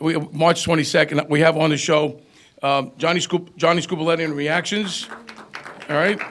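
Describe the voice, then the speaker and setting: A man's high-pitched voice with crowd noise in the background. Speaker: concert promoter. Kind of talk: casual chat. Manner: fast.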